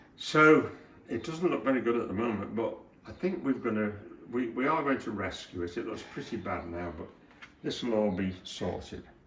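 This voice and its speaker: Amid noticeable background noise and audible room echo, a man of medium pitch talks at a moderate pace with very wide pitch swings. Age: 80s+. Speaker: retired handyman. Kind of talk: casual chat. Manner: halting.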